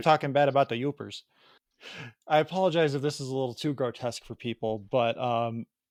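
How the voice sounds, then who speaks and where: A man with a Chicago accent, medium pitch and ordinary pitch variation, at a fairly quick pace in a dry, close sound with no echo. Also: very clean recording, silent background. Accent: Chicago Midwest. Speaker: podcast host.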